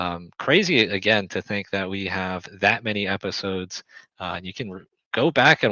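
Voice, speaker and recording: A man with a plain, everyday voice speaks at a moderate pace and a fairly low pitch. His pitch varies in an ordinary way, while his loudness swings a lot. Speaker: basketball team owner and podcast host. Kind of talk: casual chat. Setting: live stream.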